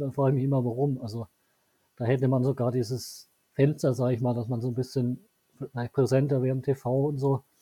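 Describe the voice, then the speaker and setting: The voice is somewhat breathy with a dark, mellow tone, delivered at a very fast pace in a monotone, flat intonation. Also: man. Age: 30s. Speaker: local newspaper journalist. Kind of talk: interview.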